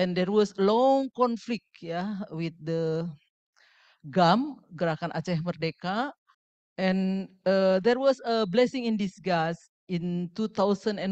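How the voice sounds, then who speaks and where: A woman's very slow speech with ordinary pitch variation against a quiet background. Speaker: speaker. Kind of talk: lecture. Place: hall.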